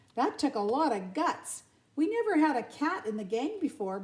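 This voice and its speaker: Done as a put-on character voice, the delivery has very wide pitch swings at a moderate pace. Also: woman, high pitch for a woman. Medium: read story.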